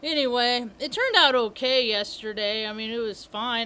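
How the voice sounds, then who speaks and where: A woman speaks loudly at a moderate pace. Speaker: spiritual vlogger. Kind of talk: casual monologue.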